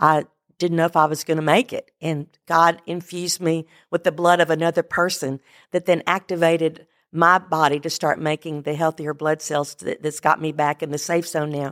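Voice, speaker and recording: Very deep and low in pitch, a woman speaks at a moderate pace with monotone, flat intonation in a dry, close, very clean recording with a silent background and no echo. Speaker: church women's ministry member and cancer patient. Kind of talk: testimony.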